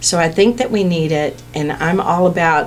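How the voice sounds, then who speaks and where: Noticeable background noise surrounds a woman speaking at a moderate pace. Her pitch is fairly low and her intonation fairly even. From Indiana. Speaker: political candidate. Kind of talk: radio interview. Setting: radio studio.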